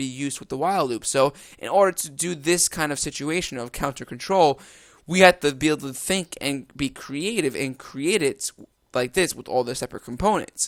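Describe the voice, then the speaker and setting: The sound is dry and close with no echo as a man speaks at a fairly high pitch with ordinary pitch variation. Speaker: programming tutor. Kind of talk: tutorial. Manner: fast; casual, with fillers.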